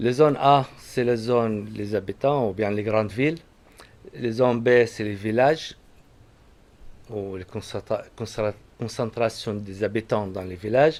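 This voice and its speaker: The speaker has an Arabic accent and leaves long, frequent pauses. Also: man. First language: Arabic (speaking French). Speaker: agronomist speaker. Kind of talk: public talk. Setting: conference with audience. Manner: halting.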